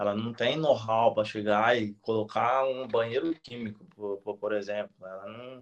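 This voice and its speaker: Medium in pitch, a man speaks with monotone, flat intonation and big swings in loudness. His pace is fairly slow, with hardly any pauses. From interior of São Paulo state, Brazil (Penápolis). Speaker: retired elite marathon runner, running coach. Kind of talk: live-stream interview. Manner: talkative, long chained sentences; hesitant repetitions.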